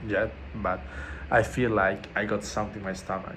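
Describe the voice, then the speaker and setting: A man speaks at a fairly low pitch with a non-native accent. His moderate pace carries audible room echo. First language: not English. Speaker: vlogger documenting a fast. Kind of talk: casual video diary. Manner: halting, many fillers.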